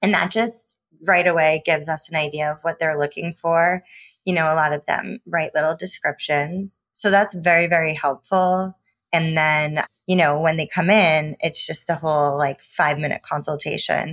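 A woman with an American accent speaks in a plain, everyday voice at a fairly low pitch, with fairly even intonation and a moderate pace. The recording is very clean and dry, close with no echo, and the background is silent. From Newport, Rhode Island, US. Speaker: hair colorist. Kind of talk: interview.

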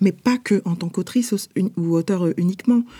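Her tone is dark and mellow, somewhat breathy, at a medium pitch. The woman keeps a moderate pace. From France, Paris. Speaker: publisher and author. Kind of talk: interview. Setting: remote recording. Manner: halting, with frequent hesitations.

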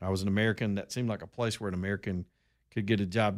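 A man with an Alabama accent on a very clean recording with a silent background. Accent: Southern US (Alabama). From Alabama, US South (Roanoke). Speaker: talk radio host. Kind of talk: talk radio monologue.

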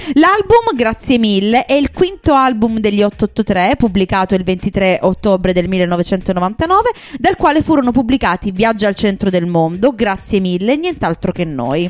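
A woman's medium-pitched voice with lively intonation at a fairly slow pace, music in the background. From Puglia, Italy. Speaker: radio host. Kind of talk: casual radio chart show chat. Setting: studio.

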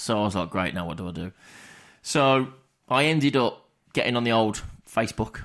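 On a very clean recording with a silent background, a man with an English accent talks at medium pitch and a fairly quick pace, with lively intonation and long, frequent pauses. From England. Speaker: podcast co-host. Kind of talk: casual chat.

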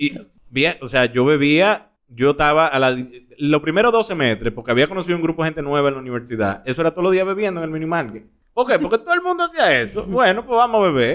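A man talks very fast in a fairly high pitch. His pitch swings very widely. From Dominican Republic. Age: 30s. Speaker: actor. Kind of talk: casual chat. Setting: studio.

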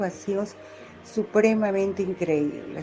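Calm in tone, a woman speaks at a fairly slow pace with fairly even intonation over noticeable background noise. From Colombia, Medellín. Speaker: real estate agent and social media writer. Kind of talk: interview.

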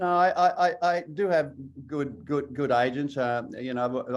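In an Australian accent, a man talks with ordinary variation in pitch. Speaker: actor. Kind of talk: interview. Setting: video call.

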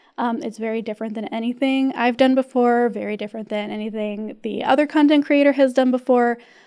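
A woman's very fast, high-pitched delivery with hardly any pauses, a dark, mellow tone, fairly even intonation and big swings in loudness. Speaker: call-in show co-host. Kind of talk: casual chat. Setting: studio.

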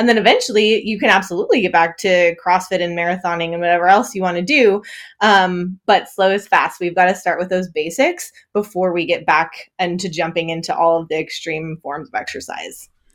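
Recorded very cleanly with a silent background, a woman with an Upper Midwest accent speaks at a fairly quick pace, medium pitch, and ordinary pitch variation. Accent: Upper Midwest American. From northern Wisconsin. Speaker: perinatal fitness coach. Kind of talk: interview.

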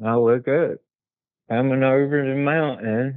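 Fairly even intonation with an Appalachian accent. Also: man. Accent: Appalachian Southern American. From US South, southwest Virginia Appalachia. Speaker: witness sharing encounters. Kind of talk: casual interview, personal accounts. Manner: halting, repeats words.

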